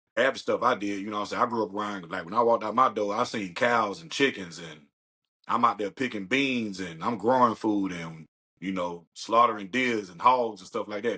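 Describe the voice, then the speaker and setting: Speaking at a fairly quick pace, a man uses a fairly low pitch, ordinary pitch variation and a bright, sharp tone. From US South, rural South Carolina. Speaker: comedian. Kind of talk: casual chat. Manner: animated.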